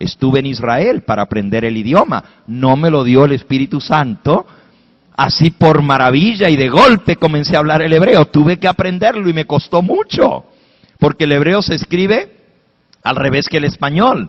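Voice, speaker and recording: A man's animated, fairly high voice with lively intonation at a moderate pace. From Spanish-speaking, raised in an English-speaking country. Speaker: pastor. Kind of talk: sermon.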